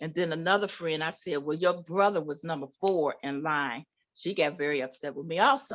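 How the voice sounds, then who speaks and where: A woman talks with lively intonation at a fairly low pitch. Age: 60s. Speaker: author and abuse survivor. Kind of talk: personal testimony in radio interview. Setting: radio studio.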